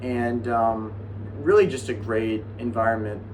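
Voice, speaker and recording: A monotone, flat delivery with an American accent, audible room echo and noticeable background noise. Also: man. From Minnesota, Twin Cities. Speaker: college bowler and YouTuber. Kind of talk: casual vlog talk to camera. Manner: casual with frequent fillers.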